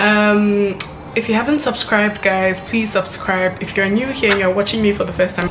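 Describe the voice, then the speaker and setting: Music plays in the background as a woman speaks with fairly even intonation. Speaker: vlogger. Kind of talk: casual vlog chat. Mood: relaxed and friendly. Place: home room.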